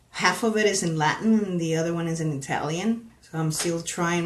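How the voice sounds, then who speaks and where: The voice carries a Spanish accent. There is noticeable background noise. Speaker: paranormal discussion panelist. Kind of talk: live stream discussion. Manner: halting, many fillers.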